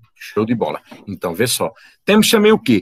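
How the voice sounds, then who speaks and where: Talking at a very fast pace, a man's voice carries vocal fry and very wide pitch swings. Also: dry, close sound with no echo. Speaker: biology teacher. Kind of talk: online lecture.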